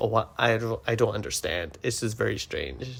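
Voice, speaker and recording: At a moderate pace, a man with a normal speaking voice talks at a medium pitch. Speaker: travel vlogger. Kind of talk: casual vlog monologue. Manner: casual, filler-heavy.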